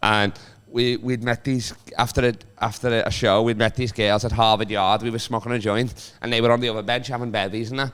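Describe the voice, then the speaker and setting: This man speaks with a Liverpool accent at a fairly quick pace. His pitch is medium and his intonation fairly even. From Liverpool, England. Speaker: comedian. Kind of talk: casual chat.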